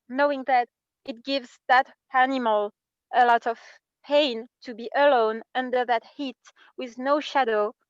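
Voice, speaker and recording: A woman with a French accent speaks at a high pitch in a fairly even intonation, with big swings in loudness and long, frequent pauses. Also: fairly slow pace, dry, close sound with no echo. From France. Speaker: workshop participant. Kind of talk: personal sharing in group workshop. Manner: halting.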